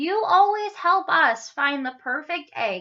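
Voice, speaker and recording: Using a put-on character voice, a woman speaks high-pitched and squeaky at a fairly slow pace. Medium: read story.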